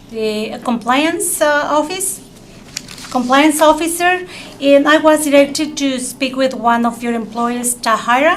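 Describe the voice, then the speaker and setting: A woman with a high voice speaks fairly slowly, her pitch varying in an ordinary way. Audible room echo and noticeable background noise accompany her. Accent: strong non-native. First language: not English. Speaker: public testifier at city council. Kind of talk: public testimony. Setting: city council chambers. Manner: halting, many fillers.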